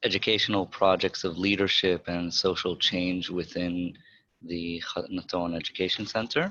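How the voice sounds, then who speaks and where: A man with a New York accent, a very deep and low pitch, a bright and sharp tone and flat monotone intonation, at a fairly slow pace over a quiet background. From Israel, raised in Rehovot by American parents. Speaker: educator. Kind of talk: panel introduction.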